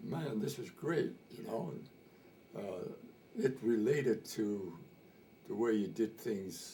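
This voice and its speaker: A man with an American accent talks at a very slow pace and a medium pitch, his lively intonation carrying vocal fry and broken by long, frequent pauses. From Montana. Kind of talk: interview answer. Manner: casual, hesitant storytelling.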